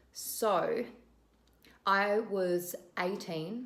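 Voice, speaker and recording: A woman speaks with an Australian accent at a medium pitch. Her intonation is lively, and room echo is audible. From Western Australia (Perth). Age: 20s. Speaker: vlogger and flight attendant. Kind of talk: casual vlog intro to camera.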